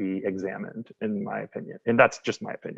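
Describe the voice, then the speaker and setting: A man talks at a fairly quick pace with an American accent. His pitch is fairly low. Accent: slight Midwestern twang, comes and goes. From Wisconsin. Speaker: guest sharing recovery story. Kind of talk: casual conversation.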